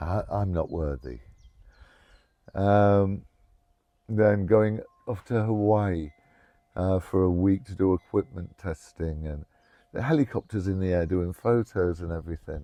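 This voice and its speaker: A man with an English accent and a very deep, low, dark, mellow voice talks at a fairly slow pace with ordinary pitch variation and long, frequent pauses, in dry, close sound with no echo and a quiet background. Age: 60s. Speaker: trauma recovery storyteller. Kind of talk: personal testimony interview. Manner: halting, many fillers.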